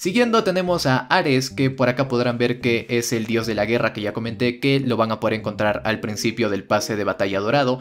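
At a fairly quick pace with hardly any pauses, a man speaks in an animated tone at a medium pitch with ordinary pitch variation. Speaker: gaming YouTuber. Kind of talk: game review tutorial.

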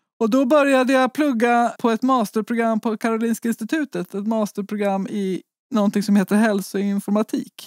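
An unremarkable speaking voice moves at a moderate pace with fairly even intonation. The recording is very clean with a silent background, dry and close with no echo. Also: woman. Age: 40s. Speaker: researcher and patient advocate. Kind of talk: interview.

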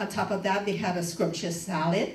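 Audible room echo and light background noise surround a woman's speech. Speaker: church event host. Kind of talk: announcement to congregation. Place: church.

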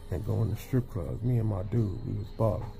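A man with a fairly low voice speaks at a moderate pace over light background noise. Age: 40s. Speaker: truck driver and vlogger; vlogger. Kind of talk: casual monologue to camera; casual vlog chat. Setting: sitting in bed. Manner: animated. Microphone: phone near.

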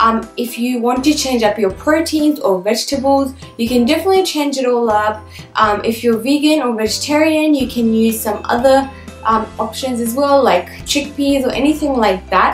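Faint music plays in the background as a woman with a high pitch speaks at a moderate pace with ordinary pitch variation amid audible room echo. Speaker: lifestyle vlogger. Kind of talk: casual vlog chat. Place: home room.

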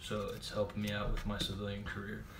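Loud background noise accompanies speech at a moderate pace. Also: man. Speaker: army reservist. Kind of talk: casual chat. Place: home room. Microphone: webcam.

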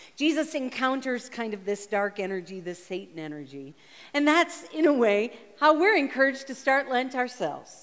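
In a quiet background, a woman speaks at a fairly quick pace. Her high pitch moves in very wide swings. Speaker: preacher. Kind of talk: sermon. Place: stage.

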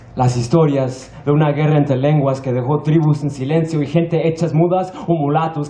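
Heard with audible room echo, a man speaks at a fairly quick pace with ordinary pitch variation. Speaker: slam poet. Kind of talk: spoken word poetry performance. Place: stage.

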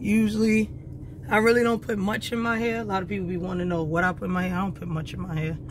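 Speaking at a very fast pace, a woman with a fairly low voice makes very wide pitch swings. Noticeable background noise sits behind her. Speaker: truck driver vlogger. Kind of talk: casual vlog. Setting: in truck, on the road.

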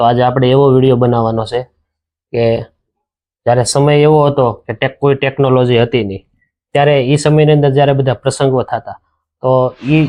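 A man speaks with monotone, flat intonation. His pitch is fairly high. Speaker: channel host interviewing an elder. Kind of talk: casual interview questions to camera.

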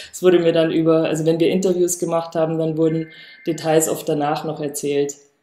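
A woman with a fairly low pitch speaks at a fairly quick pace in a monotone, flat intonation, with audible room echo. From rural Bavaria. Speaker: artist; artist on a panel. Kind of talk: panel discussion. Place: home room.

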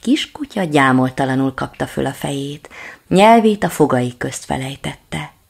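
Lively intonation running through a natural reading voice

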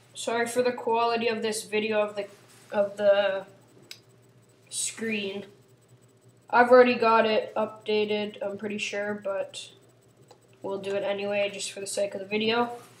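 Over light background noise with audible room echo, a woman speaks in a monotone, flat intonation with long, frequent pauses. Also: moderate pace. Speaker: tutorial maker. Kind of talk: tutorial. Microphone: phone near.

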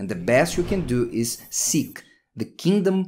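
Speaking at a very slow pace, a man with a medium pitch makes very wide pitch swings. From Brazil. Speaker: pastor. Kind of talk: sermon. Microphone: studio mic.

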